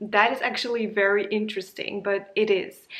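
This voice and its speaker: Speaking at a moderate pace, a woman with a non-native accent uses a medium pitch. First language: not English. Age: 30s. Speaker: YouTuber. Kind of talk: casual monologue.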